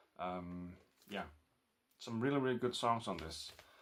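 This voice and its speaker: A man with a Danish accent. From Denmark. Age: 40s. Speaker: record collector vlogger. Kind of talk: casual vlog. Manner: halting, many fillers.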